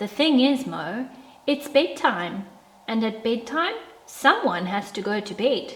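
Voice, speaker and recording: In a put-on character voice, a woman speaks at a fairly slow pace with a fairly high pitch and a warm, gentle tone. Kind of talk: bedtime story. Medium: read story.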